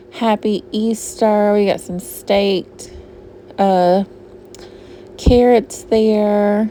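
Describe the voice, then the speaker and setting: A woman in a Southern US accent, fairly high in pitch, at a very slow pace with long, frequent pauses, over noticeable background noise. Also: ordinary pitch variation. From US South, Georgia. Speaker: shopping vlogger. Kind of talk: casual shop-with-me vlog narration. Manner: chatty, casual.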